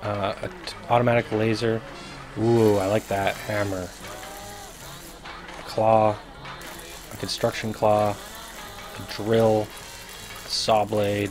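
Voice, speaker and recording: With music in the background, a man speaks in a fairly low, monotone, flat voice at a very slow pace, with long, frequent pauses. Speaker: gaming youtuber. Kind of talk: gameplay commentary. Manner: casual.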